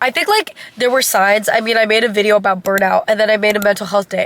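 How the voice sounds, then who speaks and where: Over noticeable background noise, a woman speaks very fast at a fairly high pitch. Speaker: college student vlogger. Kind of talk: casual vlog monologue. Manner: casual, filler-heavy.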